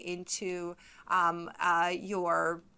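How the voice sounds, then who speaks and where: In a very clean recording with a silent background, a woman speaks loudly in a bright, sharp tone. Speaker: streamer. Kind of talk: tutorial. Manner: hesitant, many fillers.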